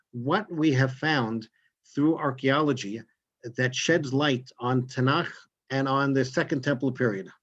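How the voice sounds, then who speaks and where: The speaker has a New York accent, with ordinary pitch variation and very even loudness. The background is quiet. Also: man, medium pitch for a man. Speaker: rabbi and tour guide. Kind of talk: lecture. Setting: video call. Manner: fast.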